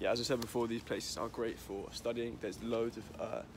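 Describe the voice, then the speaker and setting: A man at a fairly quick pace, dry sound with no echo, noticeable background noise behind him. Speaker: student guide. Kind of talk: casual vlog chat. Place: street. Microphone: phone near.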